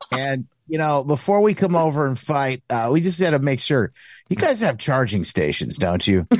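A man at a fairly high pitch with very wide pitch swings and very even loudness, over a quiet background. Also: moderate pace. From US Midwest, Michigan. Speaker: author and radio host. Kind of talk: casual chat. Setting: video call.

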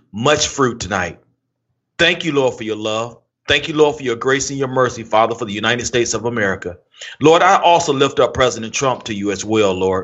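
A man with a plain, everyday voice, medium in pitch with ordinary pitch variation. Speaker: co-host. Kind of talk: casual chat.

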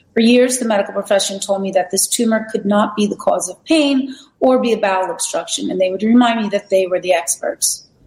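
A woman has a plain, everyday voice with a fairly high pitch and ordinary pitch variation. She talks at a fairly quick pace with hardly any pauses. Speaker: wellness center operator. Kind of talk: presentation with testimonies. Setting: video call from outdoor balcony.

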